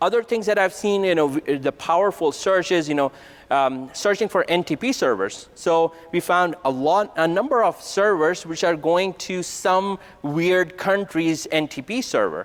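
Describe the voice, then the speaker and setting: The speaker is a man with a high pitch. His pitch variation is ordinary. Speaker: conference presenter. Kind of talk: technical conference talk. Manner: fast; casual, conversational. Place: hall.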